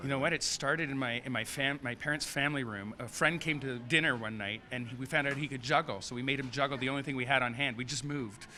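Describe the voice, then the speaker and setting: Talking at a very fast pace with hardly any pauses, a man uses a medium pitch, a bright, sharp tone and fairly even intonation. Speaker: comedy juggler. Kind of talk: interview.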